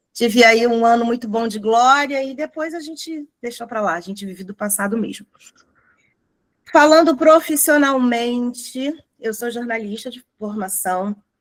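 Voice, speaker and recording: Her pitch high, a woman speaks at a fairly slow pace with ordinary pitch variation and big swings in loudness. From Rio de Janeiro, Brazil. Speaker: lecturer on racial awareness. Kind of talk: corporate lecture. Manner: animated.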